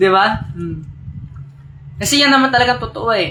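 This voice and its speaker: A man's raised, projected voice with audible room echo. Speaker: religious group leader on live stream. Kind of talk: live stream address to followers. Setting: live stream. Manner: animated, combative.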